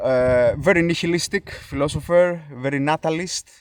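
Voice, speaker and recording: A man with a Greek accent, fairly slow in pace, with ordinary pitch variation. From Greece. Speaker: YouTuber, elk park worker. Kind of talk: casual vlog talk. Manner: hesitant, many filler sounds.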